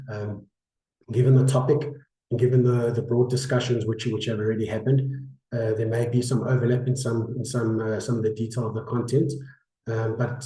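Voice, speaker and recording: This man's medium-pitched voice has a dark, mellow tone and a somewhat breathy quality. He talks at a fairly quick pace with flat, monotone intonation, and room echo can be heard. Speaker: insurance broker. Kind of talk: webinar presentation. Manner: halting, many fillers.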